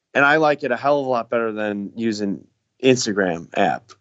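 A man uses a normal speaking voice, talking at a moderate speed with lively intonation. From Chicago. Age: 30s. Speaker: tiny home builder. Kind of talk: podcast interview.

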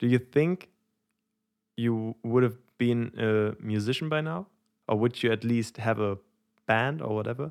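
A man's medium-pitched voice with a German accent, fairly slow, ordinary in pitch variation, with long, frequent pauses, on a very clean recording with a silent background. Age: 20s. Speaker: musician and singer, podcast co-host. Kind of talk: casual chat. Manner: halting, many fillers.

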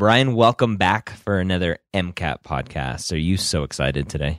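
A man's very deep, low voice with vocal fry and lively intonation at a moderate pace, in a dry, close, very clean recording with a silent background and no echo. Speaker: podcast host. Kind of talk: casual chat. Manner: not his usual sound.

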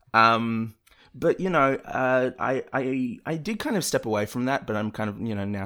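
A man speaks at a moderate pace with a bright, sharp tone and ordinary pitch variation. The recording is very clean, with a silent background. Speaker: video creator and podcaster. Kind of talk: casual chat.

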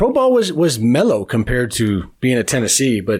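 A man speaks at a moderate pace with an American accent. The recording is very clean, with a silent background. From US Midwest, east side of Cleveland, Ohio. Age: 40s. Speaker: sport coaching professor. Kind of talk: interview conversation. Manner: halting, with frequent fillers and repetitions.

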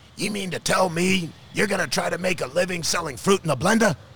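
A man puts on a gravelly character voice, pitched high and delivered at a very fast pace. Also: ordinary pitch variation. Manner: skeptical.

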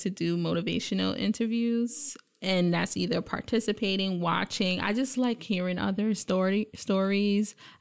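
A woman with an American accent, medium pitch and ordinary pitch variation, in an unremarkable speaking voice. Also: very clean recording, silent background. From Brooklyn, New York City. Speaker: college associate dean. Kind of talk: casual interview.

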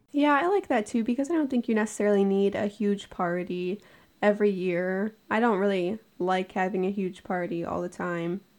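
A woman speaks in a normal speaking voice at a moderate pace, her medium pitch moving with ordinary variation, on a very clean recording with a silent background. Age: 20s. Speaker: podcast co-host. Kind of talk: casual chat.

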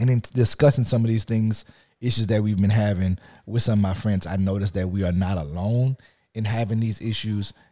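On a very clean recording with a silent background, a man with a Louisiana accent speaks fairly quickly in a fairly low pitch, his tone dark and mellow and his intonation fairly even. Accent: Louisiana Southern American. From US South, Lafayette, Louisiana. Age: 30s. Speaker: podcast co-host. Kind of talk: casual chat.

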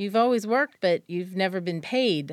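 A woman with an American accent speaks in a normal speaking voice, medium in pitch with lively intonation, on a very clean recording with a silent background. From western Pennsylvania. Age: 50s. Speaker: chamber of commerce director. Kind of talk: interview.

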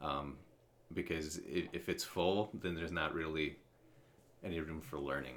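A man with a very deep, low pitch and vocal fry talks at a moderate pace in a bright, sharp tone. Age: 30s. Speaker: college writing tutor. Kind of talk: casual interview chat. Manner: halting, many repetitions and fillers.

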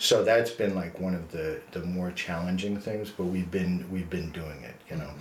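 Speaking at a moderate pace with hardly any pauses, a man has a very deep, low pitch, an American accent, ordinary pitch variation and a somewhat breathy sound. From US, New Jersey. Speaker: nonprofit executive director. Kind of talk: interview.

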